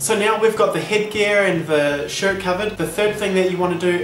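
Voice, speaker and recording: Here a man speaks at a moderate pace and high pitch with fairly even intonation. Light background noise and audible room echo come through. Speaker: vlogger. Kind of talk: casual vlog chat, humorous how-to. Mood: tongue-in-cheek, joking. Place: home room. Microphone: webcam.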